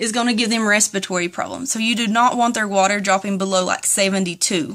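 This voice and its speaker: A woman speaks at a very fast pace in a strong Southern US accent. Her fairly high voice holds fairly even intonation. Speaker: turtle keeper. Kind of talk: casual talk to camera.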